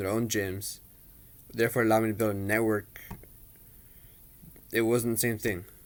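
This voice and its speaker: A man's fairly low-pitched voice at a very fast pace, with monotone, flat intonation. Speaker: personal trainer. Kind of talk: personal introduction monologue. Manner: read from a script.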